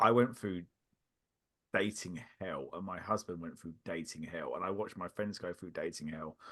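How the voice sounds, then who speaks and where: A man with a very deep, low pitch and a bright, sharp tone talks with ordinary pitch variation and big swings in loudness. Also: moderate pace. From England. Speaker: podcaster. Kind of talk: casual chat. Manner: halting.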